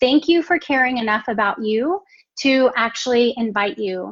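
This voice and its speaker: With a Texan accent, a woman talks at a moderate pace in a fairly high voice. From Texas. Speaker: network marketing entrepreneur. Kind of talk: live stream business presentation.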